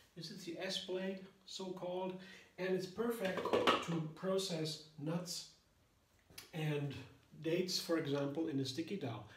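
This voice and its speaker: Amid noticeable background noise and audible room echo, a man with a high voice speaks at a fairly slow pace. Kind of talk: cooking tutorial. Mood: cheerful and enthusiastic. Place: kitchen.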